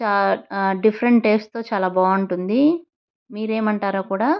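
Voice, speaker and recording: A woman speaks at medium pitch in an unremarkable speaking voice. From Ongole, Andhra Pradesh, India. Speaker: family vlogger. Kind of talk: vlog narration. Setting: outdoors at a beach. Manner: chatty, addressing viewers.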